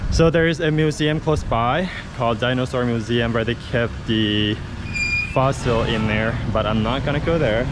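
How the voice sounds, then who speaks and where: Audible room echo and noticeable background noise surround a man talking at a moderate pace with ordinary pitch variation. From Laos, Luang Prabang. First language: Lao. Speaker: travel vlogger. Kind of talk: travel vlog narration. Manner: casual, hesitant.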